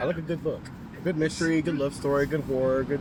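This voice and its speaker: With an American accent, a man speaks in a monotone, flat way. Noticeable background noise sits behind him. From Oklahoma, USA. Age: 30s. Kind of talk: street interview answer. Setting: outdoors, park. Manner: casual, hesitant.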